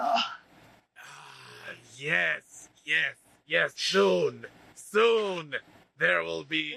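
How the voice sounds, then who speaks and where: The speaker uses a put-on character voice at a very slow pace. Long, frequent pauses break up the delivery. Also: man. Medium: actual play. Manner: grandiose and smarmy.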